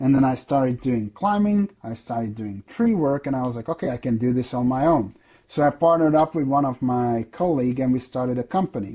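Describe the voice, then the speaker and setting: At a fairly quick pace, a man with a European accent speaks at medium pitch in a dark, mellow tone on a very clean recording with a silent background. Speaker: software sales director, former arborist. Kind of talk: podcast interview.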